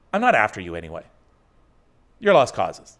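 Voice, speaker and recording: Over a quiet background, a man speaks with vocal fry. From Northern Ontario, Canada; Ontario, Canada. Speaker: online talk show host. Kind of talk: casual chat. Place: home room. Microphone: studio mic.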